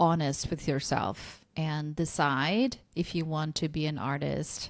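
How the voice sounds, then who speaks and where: A Korean accent with ordinary pitch variation, in a very clean recording with a silent background. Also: woman. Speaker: podcast host. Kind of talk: podcast interview. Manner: casual, hesitant with fillers.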